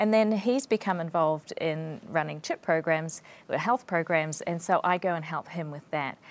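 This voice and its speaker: A woman with a New Zealand accent, fairly low in pitch, with ordinary pitch variation at a moderate pace. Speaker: physician and missionary. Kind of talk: interview.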